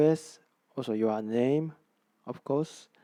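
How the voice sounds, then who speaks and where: A man speaks in a Japanese accent. His tone is dark and mellow. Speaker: real estate agent. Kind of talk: tutorial. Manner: halting, many fillers and repeats.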